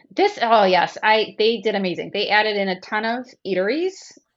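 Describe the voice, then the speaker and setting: An unremarkable speaking voice from a woman with an American accent, fairly high in pitch, at a moderate pace. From US Midwest. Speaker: travel agent, cruise guest. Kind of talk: casual chat, trip report.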